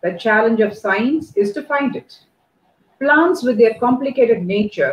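A woman speaks at a fairly high pitch and a moderate pace, her voice somewhat breathy with lively intonation. Audible room echo surrounds her. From India. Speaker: college dean. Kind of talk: welcome address. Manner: formal. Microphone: earbuds.

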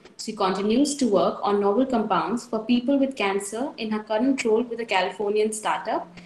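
A woman talks at a moderate pace with ordinary pitch variation. Audible room echo surrounds her voice. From India. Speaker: student event anchor. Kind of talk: formal event hosting. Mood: polite, formal. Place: home room. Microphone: earbuds.

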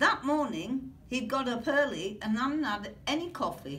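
A woman's fairly slow speech over background music. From Britain. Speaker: grandmother. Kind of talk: children's book read-aloud. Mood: playful, expressive. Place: classroom. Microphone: camera far.

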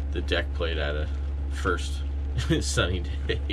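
A man speaks with a very deep, low pitch and monotone, flat intonation. Noticeable background noise sits behind him. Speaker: solo sailor vlogger. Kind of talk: casual vlog chat. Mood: calm, slightly resigned. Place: boat. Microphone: phone near.

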